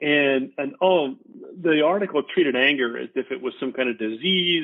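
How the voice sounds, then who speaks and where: A man with an American accent has an ordinary speaking voice, pitched fairly high. He speaks at a moderate pace with ordinary pitch variation. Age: 60s. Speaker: retired army officer. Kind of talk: casual interview.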